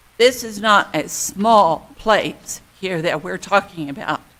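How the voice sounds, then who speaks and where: Speaking very slowly, a woman uses a bright, sharp tone at a medium pitch with ordinary pitch variation. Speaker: neighborhood representative speaking at public hearing. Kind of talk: public comment. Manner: loud.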